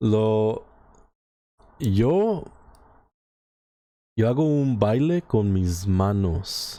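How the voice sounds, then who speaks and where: A man talks at a very slow pace with long, frequent pauses. His tone is dark and mellow, his intonation lively. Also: fairly low pitch for a man. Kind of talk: casual Spanish chat on stream.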